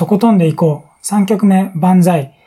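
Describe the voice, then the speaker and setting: A man with a dark, mellow tone speaks at a moderate pace. His pitch variation is ordinary. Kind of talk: casual solo talk, radio-style. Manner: relaxed, rambling.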